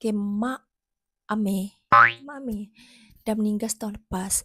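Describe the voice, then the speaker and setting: A woman's fairly high, somewhat breathy voice with a dark, mellow tone, monotone, flat intonation and a moderate pace, in a dry, close sound with no echo. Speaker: YouTuber. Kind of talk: reaction video narration. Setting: home, early morning.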